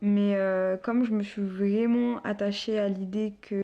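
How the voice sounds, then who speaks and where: This woman's voice has a dark, mellow tone and a medium pitch, delivered in a monotone, flat intonation. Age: 20s. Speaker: student and young mother. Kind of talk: interview testimony. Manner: hesitant, many fillers.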